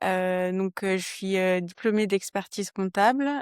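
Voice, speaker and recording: Dry, close sound with no echo, the intonation monotone and flat. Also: woman. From southern France, Toulouse area. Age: 20s. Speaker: trail runner, accountant. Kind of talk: podcast interview. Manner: hesitant, many fillers.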